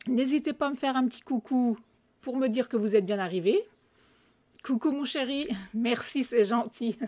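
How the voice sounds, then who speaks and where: A woman's high, dark and mellow voice at a moderate pace, ordinary pitch variation, long and frequent pauses. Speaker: craft product demonstrator. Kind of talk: live craft tutorial. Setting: live video stream. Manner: hesitant, many fillers.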